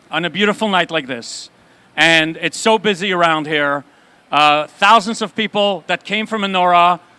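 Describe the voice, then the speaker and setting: The recording has a dry, close sound with no echo, and a man speaks at a moderate pace. His high voice has a bright, sharp tone and ordinary pitch variation. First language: Yiddish. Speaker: rabbi and event host. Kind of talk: live event interview.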